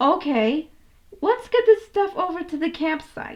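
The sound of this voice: Putting on a character voice, a woman speaks at an extremely high pitch with big pitch swings and a fairly slow pace.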